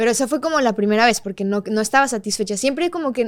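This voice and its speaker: Her delivery is very fast. This woman's voice sits fairly high, and its pitch moves in an ordinary way. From Mexico, Monterrey (Colombian family). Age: 20s. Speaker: singer-songwriter. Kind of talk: interview chat.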